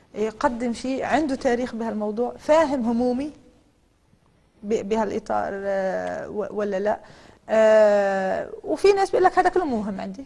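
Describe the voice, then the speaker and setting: A woman's fairly high voice, dark and mellow in tone, with lively intonation at a fairly slow pace. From Lebanon. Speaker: politician. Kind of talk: TV interview.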